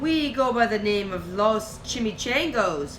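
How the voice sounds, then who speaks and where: A growling, put-on character voice at a fairly slow pace amid clear background noise. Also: woman, fairly high pitch for a woman. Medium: read story.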